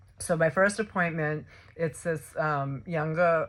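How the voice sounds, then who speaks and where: A woman with a Massachusetts accent and fairly even intonation, on a very clean recording with a silent background. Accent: non-rhotic Massachusetts accent, drops R. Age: 60s. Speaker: video blogger, patient sharing experience. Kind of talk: personal testimony vlog. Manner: halting, many fillers and repeats.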